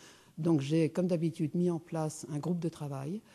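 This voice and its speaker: Dark, mellow tone and monotone, flat intonation against a quiet background. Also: woman. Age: 60s. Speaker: businesswoman and speaker. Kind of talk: conference talk. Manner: hesitant, many fillers.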